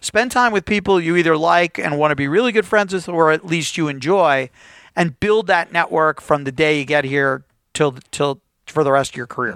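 A man has a normal speaking voice, fairly high in pitch, with ordinary pitch variation and a moderate pace. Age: 50s. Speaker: corporate lawyer. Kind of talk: interview.

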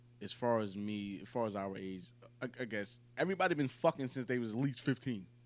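At a fairly quick pace, a man speaks with lively intonation. He has a normal speaking voice at medium pitch. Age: 20s. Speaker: podcast co-host. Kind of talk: casual chat.

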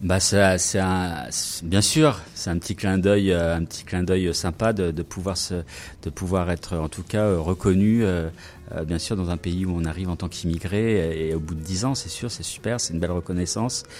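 Ordinary pitch movement in a man's voice set very deep and low. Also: moderate pace. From Brittany, France. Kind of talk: radio interview.

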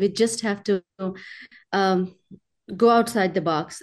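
A woman speaks at a medium pitch with a Pakistani accent. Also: quiet background. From Pakistan, small mountainous region. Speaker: film producer and humanitarian. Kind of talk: interview. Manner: halting.

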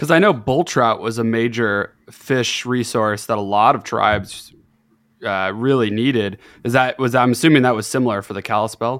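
In an ordinary speaking voice, a man talks at a moderate pace with medium pitch and ordinary pitch variation, on a very clean recording with a silent background. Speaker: podcast host. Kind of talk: casual interview.

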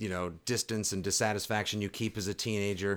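In a fairly low pitch, a man talks at a moderate pace with an American accent and an ordinary speaking voice. The recording is very clean, with a silent background. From Boston. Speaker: sports podcast co-host. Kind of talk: casual chat.

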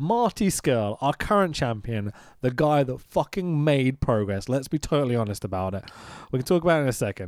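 A man with a London accent talks at a fairly quick pace in a medium pitch, his tone animated and his pitch swinging very widely. The sound is dry and close with no echo, on a very clean recording with a silent background. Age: 30s. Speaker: podcast host, video editor. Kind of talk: casual chat.

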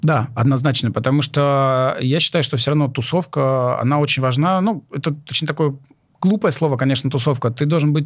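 A man's fairly high voice at a moderate pace, with very even loudness and ordinary pitch variation. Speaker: chef and culinary instructor. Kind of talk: casual chat. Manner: hesitant, filler-heavy.

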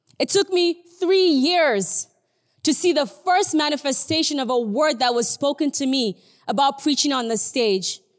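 A woman with a Nigerian accent speaks at a moderate pace with a high pitch and lively intonation. Her loudness stays very even, and the sound is dry and close with no echo. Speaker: guest preacher. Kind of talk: sermon. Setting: church livestream.

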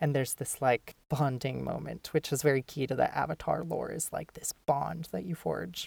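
A woman in an American accent speaks at a very deep, low pitch with vocal fry and ordinary pitch variation. Her moderate pace has hardly any pauses, and the sound is dry and close with no echo. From Minnesota. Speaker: podcast host, graduate student. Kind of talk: casual discussion podcast.

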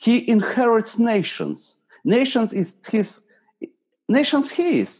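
A man talks at a very slow pace. His voice is high, with ordinary pitch variation. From eastern Ukraine. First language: Ukrainian or Russian. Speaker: pastor. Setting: video call. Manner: halting.

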